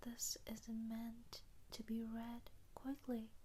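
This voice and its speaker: A whispered, soft-spoken voice with a gentle tone moves at a very slow pace. Noticeable background noise sits behind it. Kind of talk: soft-spoken ASMR letter, sleep-time comfort audio. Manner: soft-spoken, whispery, slow, gentle.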